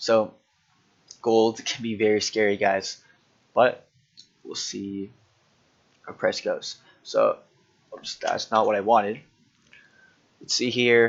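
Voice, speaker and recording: A man's very slow speech, broken by long, frequent pauses, with big swings in loudness. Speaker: forex trading analyst. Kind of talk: screen-share market analysis tutorial. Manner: casual, halting with fillers.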